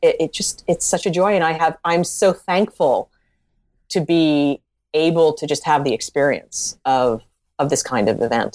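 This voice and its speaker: With an American accent, a woman speaks at a moderate pace in a very deep, low pitch with lively intonation, recorded very cleanly against a silent background with a dry, close sound and no echo. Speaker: novelist. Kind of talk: interview. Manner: halting.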